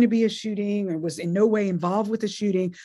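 Somewhat breathy and dark, mellow in tone, a woman with an American accent speaks at a medium pitch with ordinary pitch variation. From US South, North Carolina. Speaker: law professor. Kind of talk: interview.

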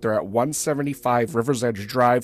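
It's a man with an unremarkable speaking voice, recorded dry and close with no echo. He talks at a moderate pace and a medium pitch. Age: 30s. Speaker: podcast host. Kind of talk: casual interview.

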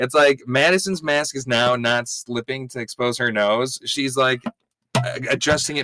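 Recorded dry and close with no echo, a man talks at a moderate pace in a bright, sharp, medium-pitched voice with ordinary pitch variation. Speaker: podcast host. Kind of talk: casual banter recap.

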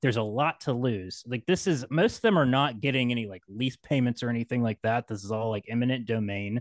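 A man with a normal speaking voice and an American accent talks at a fairly quick pace in a medium pitch with ordinary pitch variation, against a quiet background with a dry, close sound and no echo. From West Virginia, Appalachia. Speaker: podcaster. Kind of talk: casual chat.

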